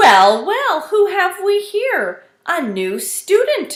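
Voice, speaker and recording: A woman's put-on character voice, extremely high-pitched and very slow, with very wide pitch swings. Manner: jovial.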